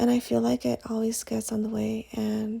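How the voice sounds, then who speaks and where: A woman is speaking. She is whispering. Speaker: nail art tutorial creator. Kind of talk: tutorial. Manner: casual.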